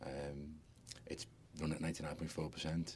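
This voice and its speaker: A man's very deep, low voice in a Liverpool accent, with monotone, flat intonation. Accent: Scouse. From Liverpool, England. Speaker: hotel business owner. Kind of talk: interview. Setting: studio.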